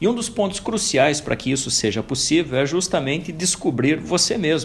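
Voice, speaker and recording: Music plays behind a man who speaks at a moderate pace with a fairly high pitch and lively intonation. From southern Brazil, interior of Santa Catarina (Mafra). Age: 40s. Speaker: podcast host, career coach. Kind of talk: motivational podcast monologue. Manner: calm, direct address to listener.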